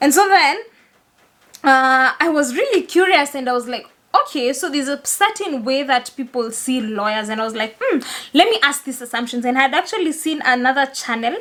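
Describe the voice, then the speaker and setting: Speaking at a fairly quick pace with a Kenyan accent, this voice has lively intonation and a bright, sharp tone. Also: woman, high pitch for a woman. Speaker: lawyer and content creator. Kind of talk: casual vlog talk. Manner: soft-spoken; not loud, laid back.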